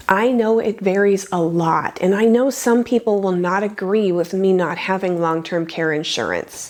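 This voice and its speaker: Over noticeable background noise, a woman speaks at a moderate pace with hardly any pauses, using a medium pitch and ordinary pitch variation. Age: 50s. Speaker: personal finance youtuber. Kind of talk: scripted narration.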